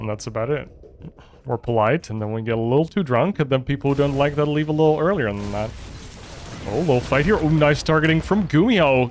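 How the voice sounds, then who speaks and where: This man talks very fast in a fairly high pitch with a slight Dutch accent. His intonation is lively. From Netherlands. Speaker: esports commentator. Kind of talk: casual chat; live commentary. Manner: animated.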